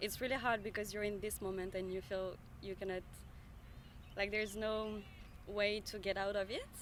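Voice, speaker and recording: A woman with a French accent speaks at a moderate pace and medium pitch. Her intonation is monotone and flat, with long, frequent pauses. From France. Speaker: member of the public interviewed on the street. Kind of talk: casual street interview. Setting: outdoors in a park. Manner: halting, many fillers.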